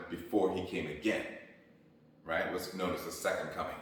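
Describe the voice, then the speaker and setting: A man talks. Noticeable background noise and audible room echo surround him. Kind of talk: solo video talk on Bible teaching. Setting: home, not usual studio. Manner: halting, many repetitions and fillers.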